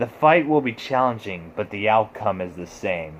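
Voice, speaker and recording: At a moderate pace, a man growls in a put-on character voice pitched fairly low. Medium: read story. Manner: growling.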